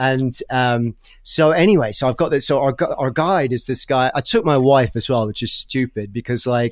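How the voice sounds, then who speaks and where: A man with an American accent speaks at a moderate pace and medium pitch, with ordinary pitch variation. The recording is very clean, with a silent background. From Brighton, England. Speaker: travel writer and podcast host. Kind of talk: casual interview chat, storytelling.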